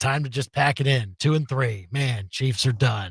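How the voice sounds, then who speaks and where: A man puts on a raspy character voice at medium pitch, moving at a moderate pace in a dry, close sound with no echo. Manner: sarcastic; mocking, exaggeratedly gloomy.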